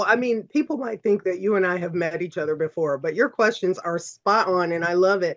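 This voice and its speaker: A woman with an unremarkable speaking voice talks at a medium pitch with lively intonation. Her pace is fairly quick, with hardly any pauses. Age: 50s. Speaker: aesthetic nurse injector. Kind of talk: podcast interview.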